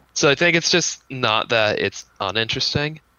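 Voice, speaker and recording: A man with a plain, everyday voice at medium pitch, lively intonation and a moderate pace. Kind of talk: casual chat podcast banter. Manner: casual, filler words, joking.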